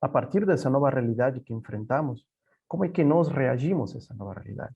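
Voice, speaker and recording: A man with a Spanish accent talks at a fairly quick pace, his medium pitch moving with ordinary variation. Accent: Spanish (Castilian) accent in Portuguese. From Peru. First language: Spanish (speaking Portuguese). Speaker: software company executive. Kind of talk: panel presentation. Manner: halting, many repetitions.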